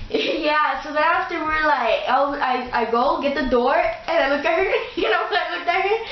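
Over music in the background and audible room echo, a woman with an extremely high pitch speaks at a fairly quick pace with ordinary pitch variation. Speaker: storyteller. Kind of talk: casual vlog chat. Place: home room. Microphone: camera far.

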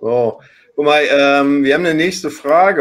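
The man talks at a moderate pace with a fairly high pitch. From Hamburg. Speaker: online talk show host. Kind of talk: live talk show moderation. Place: home room. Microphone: webcam.

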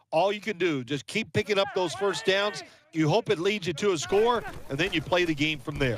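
Against noticeable background noise, a man talks at a fairly quick pace in a high voice. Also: ordinary pitch variation. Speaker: sports commentator.

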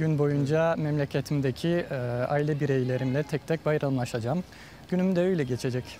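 This man's fairly high voice has a dark, mellow tone, very even loudness, fairly even intonation and a moderate pace, recorded dry with no echo over light background noise. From France. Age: 20s. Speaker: pharmacist; interviewee. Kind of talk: interview. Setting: outdoors. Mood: warm, calm, smiling. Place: garden. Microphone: lapel.

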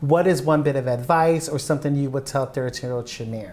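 The speaker is a man with an American accent. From Philadelphia. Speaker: web series host. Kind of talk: casual interview. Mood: warm, thoughtful. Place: kitchen. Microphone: lapel.

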